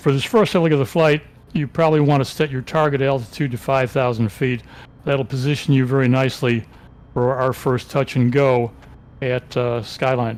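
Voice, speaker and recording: Music plays behind a man speaking with an American accent at a medium pitch. His pace is fairly quick and his intonation fairly even. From South Carolina (lives there now). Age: 80s+. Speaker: flight planner in flight-sim group. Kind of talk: casual briefing.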